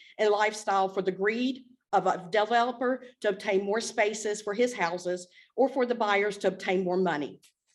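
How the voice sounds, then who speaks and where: With ordinary pitch variation, a woman speaks at a moderate pace in a fairly high voice. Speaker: public commenter. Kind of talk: public comment. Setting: council meeting, podium. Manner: loud.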